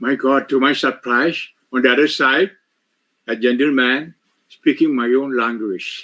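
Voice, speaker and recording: A man with a Keralan accent speaks at a very slow pace, leaving long, frequent pauses. His medium-pitched voice has a bright, sharp tone, fairly even intonation, and very even loudness. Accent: Indian (Malayali) English. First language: Malayalam (speaking French). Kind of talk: retreat sermon with interpreter. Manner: short phrases paused for interpreter.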